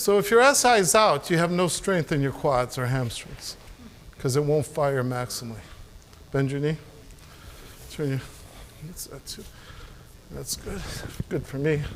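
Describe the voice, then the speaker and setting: A man with a fairly high pitch speaks at a moderate pace with lively intonation and long, frequent pauses. Noticeable background noise sits behind him. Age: 60s. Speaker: sports medicine chiropractor and presenter. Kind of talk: live demonstration at a seminar. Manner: casual, halting with repetitions.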